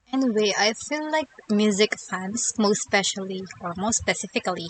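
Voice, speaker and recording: A woman's medium-pitched voice with a non-native accent, moderate pace and ordinary pitch variation, dry and close with no echo, over noticeable background noise. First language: not English. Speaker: YouTuber, music lyrics reviewer. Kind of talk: scripted commentary.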